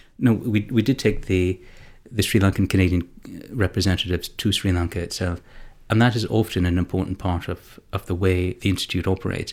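Over a silent background in a very clean recording, a man talks at a fairly quick pace in a very deep, low pitch with fairly even intonation. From Canada. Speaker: conflict resolution institute founder, university alumnus. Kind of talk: interview. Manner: halting, frequent repetitions.

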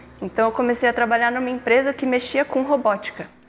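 A woman keeps her intonation fairly even while speaking at a high pitch. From São Paulo metro area, Brazil. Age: 20s. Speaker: engineering student and intern. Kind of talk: casual interview.

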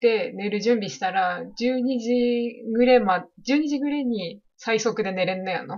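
A woman with a Yamagata accent speaks at a fairly slow pace with hardly any pauses. Her fairly high voice has ordinary pitch variation and big swings in loudness. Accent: Shonai dialect of Yamagata. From Japan, Shonai region of Yamagata. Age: 20s. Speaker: podcast co-host. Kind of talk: casual chat.

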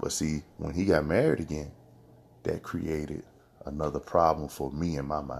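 Vocal fry colors a man's very deep, low voice. He keeps a moderate pace and fairly even intonation. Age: 30s. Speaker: motivational podcast host. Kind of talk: motivational monologue.

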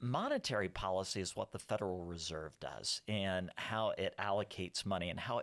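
Heard on a very clean recording with a silent background, a man with a Texan accent speaks with ordinary pitch variation. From South Texas. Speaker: economist. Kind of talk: casual interview.

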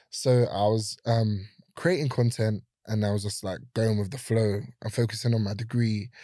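A man's medium-pitched voice in a London accent, dark and mellow in tone, at a moderate pace with fairly even intonation, on a very clean recording with a silent background. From South London, Brixton. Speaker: photographer and content creator. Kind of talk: casual chat. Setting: studio.

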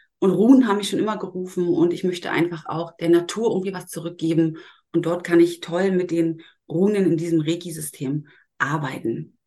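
A woman's fairly low voice, dark and mellow in tone, at a fairly quick pace with fairly even intonation. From Germany, Berlin. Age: 40s. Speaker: Reiki master and educator. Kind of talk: podcast interview.

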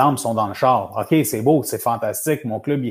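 In a very clean recording with a silent background, a man has an unremarkable speaking voice, medium pitch, and fairly even intonation. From Montreal, Quebec. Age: 40s. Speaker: men's support group founder and coach. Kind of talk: casual interview. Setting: live stream.

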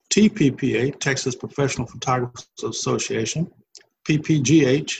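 With an American accent, a man talks at medium pitch with vocal fry and ordinary pitch variation. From US South, Nashville, Tennessee. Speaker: photographer, retired air traffic controller. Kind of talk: interview. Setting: video call.

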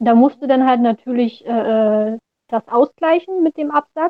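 A woman is speaking. Her pitch is fairly high. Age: 20s. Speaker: orthopedic shoemaker. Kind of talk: interview.

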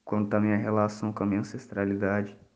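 A man's fairly low, dark, mellow voice in a monotone, flat delivery, with audible room echo. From Brazil, Espírito Santo. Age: 20s. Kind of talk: personal testimony.

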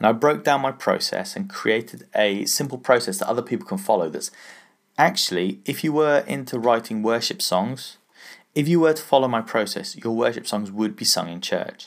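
With an English accent, a man speaks at a medium pitch and a moderate pace with lively intonation. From England. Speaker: business podcast host. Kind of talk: solo podcast monologue. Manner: casual, conversational.

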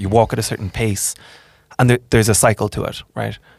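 Speaking at a fairly quick pace, a man with an Irish accent has a fairly low pitch and some vocal fry. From Ireland. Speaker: podcast host. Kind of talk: casual interview.

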